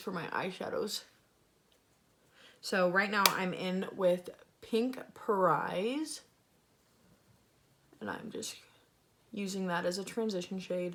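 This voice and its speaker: A woman at a very slow pace with long, frequent pauses and fairly even intonation, over noticeable background noise. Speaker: beauty vlogger. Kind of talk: makeup tutorial. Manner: casual.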